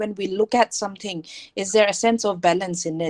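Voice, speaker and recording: Fairly even intonation comes at a fairly quick pace in a normal speaking voice. The sound is dry and close, with no echo. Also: woman. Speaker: teacher. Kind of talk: online lecture.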